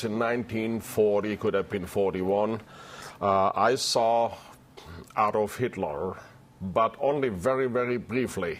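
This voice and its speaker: Speaking with a German accent, a man uses a medium pitch and ordinary pitch variation at a fairly slow pace. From southwestern Germany. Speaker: retired chef. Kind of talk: interview.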